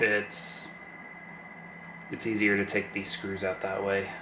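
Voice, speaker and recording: Speaking at a fairly slow pace with long, frequent pauses, a man with a fairly low pitch is heard amid audible room echo. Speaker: lockpicking YouTuber. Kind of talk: casual tutorial-style narration while working. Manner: monotone.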